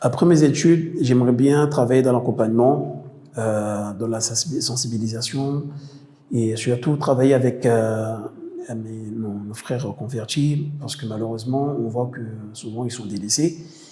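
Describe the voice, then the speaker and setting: Through audible room echo and noticeable background noise, a man speaks fairly slowly at medium pitch with ordinary pitch variation and big swings in loudness. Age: 30s. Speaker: theology student. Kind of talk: interview testimony. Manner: halting, with many fillers.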